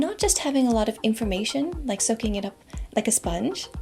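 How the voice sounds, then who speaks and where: A woman talks at a fairly quick pace in a fairly high voice. Noticeable background noise is present. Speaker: university professor. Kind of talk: educational talk to camera. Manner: friendly, encouraging.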